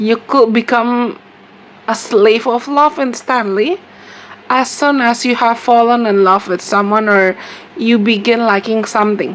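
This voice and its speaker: Over noticeable background noise, a woman with an Indonesian accent talks at a fairly slow pace in a fairly high pitch with very even loudness. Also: ordinary pitch variation. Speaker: tarot reader. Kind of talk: tarot reading monologue. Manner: hesitant, repetitive with fillers.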